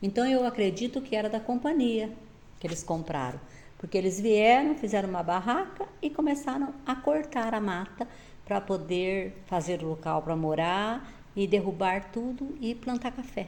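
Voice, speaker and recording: With a plain, everyday voice, a woman speaks at a fairly high pitch and moderate pace with lively intonation. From southern Brazil, Paraná (Astorga area). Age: 60s. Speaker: retired teacher. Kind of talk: interview.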